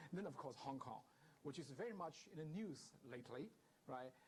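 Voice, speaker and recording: Somewhat breathy and fairly high, a man's voice with a Chinese accent carries lively intonation at very even loudness, with audible room echo. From southern China. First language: Mandarin Chinese. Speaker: guest lecturer, professor. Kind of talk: lecture. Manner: hesitant, with many fillers.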